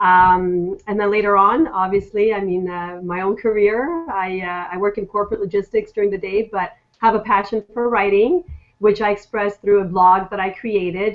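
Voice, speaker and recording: A woman uses a plain, everyday voice, keeping a moderate pace and fairly even intonation. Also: medium pitch for a woman. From Quebec, Montreal. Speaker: blogger and author. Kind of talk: casual chat.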